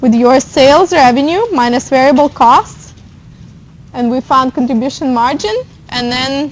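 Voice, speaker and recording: The woman's voice is pitched high. Background noise is noticeable behind her. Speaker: accounting instructor. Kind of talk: lecture.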